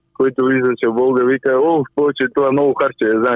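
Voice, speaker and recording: A man speaks with a Spanish accent at a medium pitch. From Cuba. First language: Spanish (speaking Bulgarian). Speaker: retro car enthusiast. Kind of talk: interview. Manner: halting.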